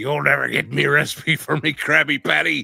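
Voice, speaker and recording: Using a raspy put-on character voice at a medium pitch, a man talks at a fairly quick pace. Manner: imitating the show's crab character.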